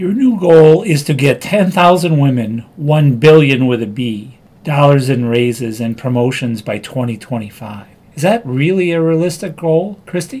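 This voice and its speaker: An ordinary speaking voice from a man, fairly high in pitch, with lively intonation at a moderate pace. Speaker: podcast host interviewer. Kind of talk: interview questions.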